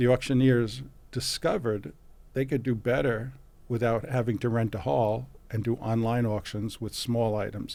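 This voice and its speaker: In a New York accent, a man speaks at a medium pitch and moderate pace, his dark, mellow tone showing ordinary pitch variation on a very clean recording with a silent background. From New York City, Brooklyn. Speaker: physician and antiques expert. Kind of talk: interview. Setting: podcast interview. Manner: halting, many fillers.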